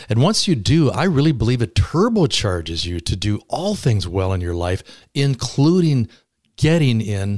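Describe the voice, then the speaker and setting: A somewhat breathy man at medium pitch and a moderate pace, with very wide pitch swings, on a very clean recording with a silent background. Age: 70s. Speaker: author and retired entrepreneur. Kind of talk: casual interview. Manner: animated, warm.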